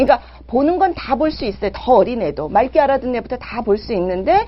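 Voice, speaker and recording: The tone is animated and the pace fairly quick. Noticeable background noise sits behind the voice. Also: woman. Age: 50s. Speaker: parenting and sex education mentor hosting a live show. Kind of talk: live-streamed talk answering viewer chat. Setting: live broadcast with viewer chat.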